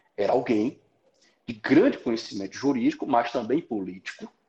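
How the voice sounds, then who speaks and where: A man with a dark, mellow tone talks at a moderate pace. The background is quiet. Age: 30s. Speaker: law professor. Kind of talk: explanatory lecture-style conversation.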